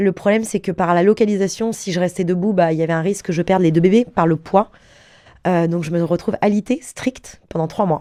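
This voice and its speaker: Here a woman speaks at medium pitch. Her tone is dark and mellow. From Paris region, France. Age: 30s. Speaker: former elite water-skier. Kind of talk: interview testimony. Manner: animated.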